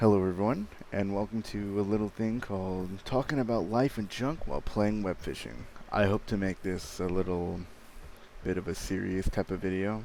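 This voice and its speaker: With a dark, mellow tone and fairly low pitch, a man talks at a moderate pace with ordinary pitch variation. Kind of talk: casual talk while gaming. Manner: occasional stutter.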